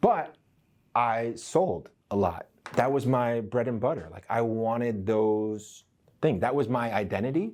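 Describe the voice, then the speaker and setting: In an ordinary speaking voice, a man talks at a fairly slow pace with a medium pitch and ordinary pitch variation, on a very clean recording with a silent background. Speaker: real estate trainer. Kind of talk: training session. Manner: conversational.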